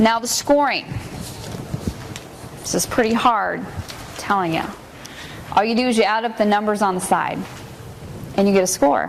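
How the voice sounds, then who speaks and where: A woman talks with ordinary pitch variation and long, frequent pauses. Audible room echo and noticeable background noise fill the recording. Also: fairly high pitch for a woman. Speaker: juvenile probation supervisor. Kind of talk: training lecture. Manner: fast.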